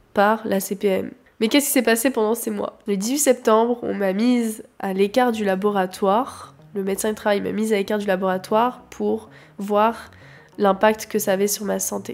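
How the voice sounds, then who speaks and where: A woman with a normal speaking voice talks at a medium pitch and moderate pace, keeping her intonation fairly even. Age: 20s. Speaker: photographer. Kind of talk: personal testimony.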